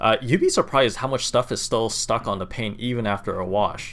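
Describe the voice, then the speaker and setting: On a very clean recording with a silent background, a man of medium pitch and an unremarkable speaking voice talks at a moderate pace. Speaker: car DIY video maker. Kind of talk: voiceover narration tutorial.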